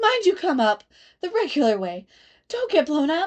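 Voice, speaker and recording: A woman puts on a character voice at an extremely high pitch, swinging very widely in pitch at a moderate pace. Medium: read story.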